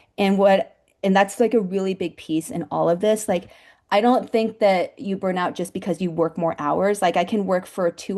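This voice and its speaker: A woman's dark, mellow tone at a fairly quick pace, with ordinary pitch variation and a quiet background. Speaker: nonprofit educator and fundraiser. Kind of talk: panel Q&A talk. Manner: fast; casual, many fillers.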